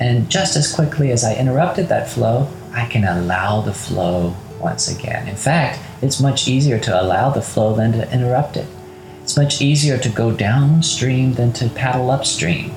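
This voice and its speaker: Music plays in the background as a man speaks. His tone is calm and soothing, with lively intonation. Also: medium pitch for a man. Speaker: meditation guide. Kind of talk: guided meditation. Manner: slow, calm, soothing, with gentle pauses; soft-spoken, reassuring, direct address.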